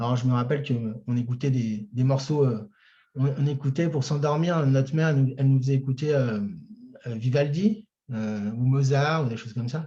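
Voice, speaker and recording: A somewhat breathy voice with a dark, mellow tone at a moderate pace. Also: man, medium pitch for a man, ordinary pitch variation. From France, Chartres. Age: 30s. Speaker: singer-songwriter. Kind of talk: interview. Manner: hesitant, many fillers.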